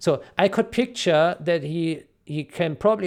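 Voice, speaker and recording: A man speaks with a non-native accent and ordinary pitch variation. The recording is very clean, with a silent background. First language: not English. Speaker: video game modder and community commentator. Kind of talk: solo commentary video. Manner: halting, many fillers and repeats.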